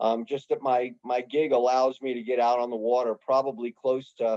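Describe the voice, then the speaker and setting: A man in a New York accent, medium-pitched, with a dark, mellow tone. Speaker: fishing guide. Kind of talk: club presentation. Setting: video call. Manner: casual, conversational.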